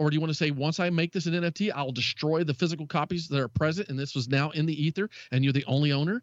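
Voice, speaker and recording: This man talks at a very fast pace in a Southern US accent. His pitch is fairly high, with ordinary variation. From US South. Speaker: tech radio co-host. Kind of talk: casual chat about technology.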